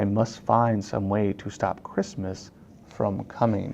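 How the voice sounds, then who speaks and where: A man's put-on character voice, growling and fairly low, at a fairly slow pace over clear background noise. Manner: growling, sneering.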